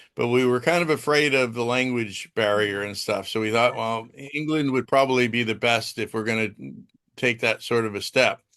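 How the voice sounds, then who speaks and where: Medium-pitched man with an American accent, bright and sharp in tone, fairly even intonation, moderate pace, quiet background. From United States. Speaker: guest homeowner. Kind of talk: interview.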